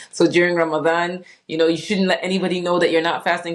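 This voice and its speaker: Noticeable background noise sits behind a woman with an American accent. She talks at a very fast pace with a fairly low pitch. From Saudi Arabia (Jeddah), Sierra Leonean heritage. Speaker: doctor. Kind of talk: interview.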